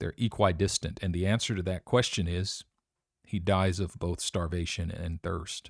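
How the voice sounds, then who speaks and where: A man with a very deep, low pitch on a very clean recording with a silent background. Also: fairly even intonation, moderate pace, dry, close sound with no echo. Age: 40s. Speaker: podcaster and preacher. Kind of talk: personal monologue.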